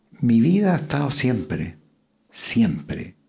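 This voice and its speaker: Speaking at a very slow pace, a man talks with vocal fry. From Chile, Curicó. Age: 80s+. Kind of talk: interview conversation.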